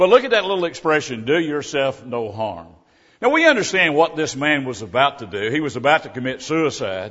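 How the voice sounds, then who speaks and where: Using vocal fry, a man talks at a fairly quick pace in a fairly high voice with very wide pitch swings. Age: 70s. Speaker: visiting preacher. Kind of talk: sermon. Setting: church.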